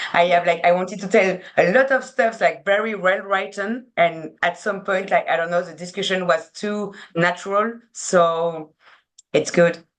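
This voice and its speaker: With a French accent, a woman speaks at medium pitch and a moderate pace, her intonation fairly even. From France. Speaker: sports PR agency co-founder. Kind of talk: casual interview chat. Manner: halting, searching for words.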